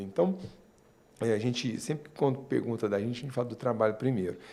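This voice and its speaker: Pitched in the medium range, this man's voice has a mellow, dark tone. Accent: Minas Gerais. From Minas Gerais, Brazil (Uberlândia). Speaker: marketing consultant. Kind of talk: interview.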